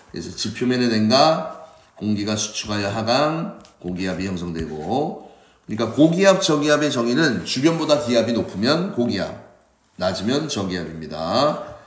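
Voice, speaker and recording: A man's voice with very wide pitch swings, amid noticeable background noise and audible room echo. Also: medium pitch for a man, moderate pace. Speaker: science teacher. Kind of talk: lecture.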